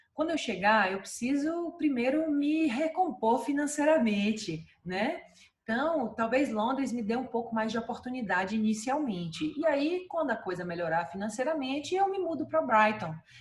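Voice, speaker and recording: Amid noticeable background noise, the voice moves at a moderate pace with very wide pitch swings. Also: woman, high pitch for a woman. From Brazil, Salvador, Bahia. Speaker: dentist and clinic owner. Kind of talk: interview. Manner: many fillers and hesitations.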